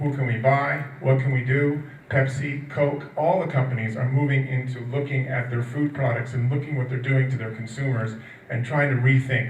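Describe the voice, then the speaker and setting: A medium-pitched man speaks at a fairly quick pace in a monotone, flat intonation, with audible room echo and noticeable background noise. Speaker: nutrition industry analyst. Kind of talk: conference talk. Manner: fast.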